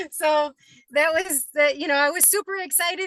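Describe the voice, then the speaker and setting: A woman projects her raised voice at a high pitch with a bright, sharp tone. Her pitch varies in an ordinary way, and her pace is moderate. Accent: American. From upstate New York. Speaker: aspiring real estate wholesaler. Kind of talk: self-introduction in online group call.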